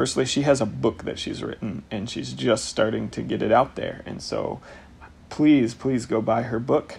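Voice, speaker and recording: The man in this recording speaks at a moderate pace. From US Midwest, northwest Ohio (small rural town). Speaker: podcast host. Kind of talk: spoken intro; casual chat.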